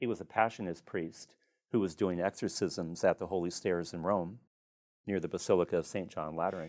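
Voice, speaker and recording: The speech comes at a fairly quick pace in a Midwestern American accent. The recording is very clean, with a silent background. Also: man. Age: 60s. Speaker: priest and exorcist. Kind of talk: podcast interview.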